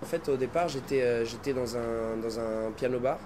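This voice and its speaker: A man talks at a fairly slow pace with fairly even intonation, with noticeable background noise behind him. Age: 20s. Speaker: singer. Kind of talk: interview. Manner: halting, many fillers.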